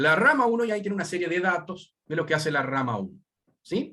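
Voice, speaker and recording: A man talks at a fairly quick pace in a plain, everyday voice. His intonation is lively. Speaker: university lecturer. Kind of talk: lecture.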